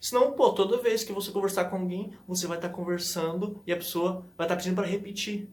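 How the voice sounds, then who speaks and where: With audible room echo, a man talks in a high voice that shows ordinary pitch variation. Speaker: language-learning YouTuber. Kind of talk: tutorial. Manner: fast; casual, conversational.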